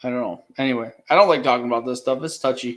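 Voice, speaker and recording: A man mumbles at a medium pitch. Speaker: live stream host. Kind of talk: casual chat. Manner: mumbling.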